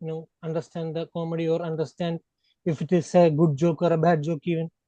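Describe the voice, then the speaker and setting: A man with a non-native accent speaks at a moderate pace in a dark, mellow tone, with a dry, close sound and no echo. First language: not Hindi. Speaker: podcast panelist. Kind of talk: casual chat.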